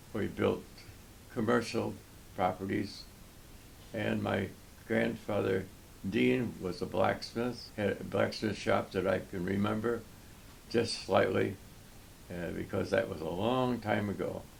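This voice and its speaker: With an American accent, a man talks at a fairly low pitch with vocal fry, ordinary pitch variation, a fairly slow pace and long, frequent pauses. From United States, New York. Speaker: war veteran. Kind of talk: interview answer, personal autobiography.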